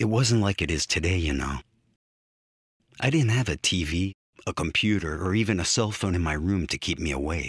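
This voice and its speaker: This man's voice is very deep and low, somewhat breathy, with ordinary pitch variation. He speaks at a moderate pace in a dry, close sound with no echo. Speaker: voice actor. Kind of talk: storytelling narration. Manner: reflective, conversational.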